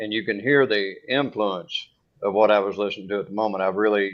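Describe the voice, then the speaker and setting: In a Kentucky accent, a man speaks at a fairly low pitch with fairly even intonation. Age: 40s. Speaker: singer-songwriter, audience member. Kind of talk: casual chat.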